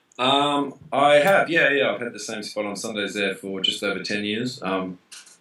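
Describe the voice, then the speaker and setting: A man with an Australian accent talks at a medium pitch, his loudness swinging widely. Background noise is clearly noticeable. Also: lively intonation, moderate pace. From Australia, Melbourne. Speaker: DJ and musician. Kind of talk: interview. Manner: casual, hesitant with fillers.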